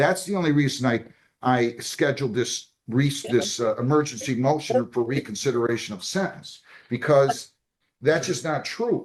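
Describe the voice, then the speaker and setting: Loud and at a moderate pace, a man speaks at a fairly high pitch with very wide pitch swings. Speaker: judge. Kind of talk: court hearing. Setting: courtroom.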